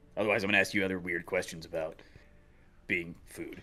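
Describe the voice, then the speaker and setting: Doing a put-on character voice, a man speaks very fast in a raspy, fairly low pitch. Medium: actual play. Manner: rambling, casual.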